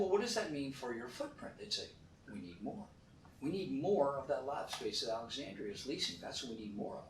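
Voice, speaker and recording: A man with a fairly high voice speaks over noticeable background noise, with audible room echo. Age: 60s. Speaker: real estate fund manager. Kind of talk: interview. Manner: animated.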